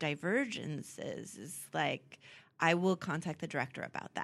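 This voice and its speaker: In an American accent, a woman with an ordinary speaking voice talks at a moderate pace and a fairly low pitch. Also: very clean recording, silent background. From US, Southern California (San Diego area). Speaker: costume designer. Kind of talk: interview conversation.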